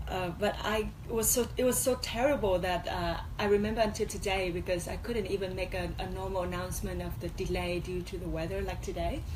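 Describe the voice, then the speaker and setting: A woman talks at a fairly quick pace over noticeable background noise, with audible echo from the room. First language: Vietnamese. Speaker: MC and former beauty pageant contestant. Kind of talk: radio interview. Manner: halting.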